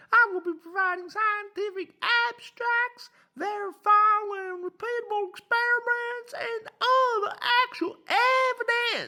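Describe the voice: The put-on character voice is squeaky and extremely high. It moves at a fairly slow pace.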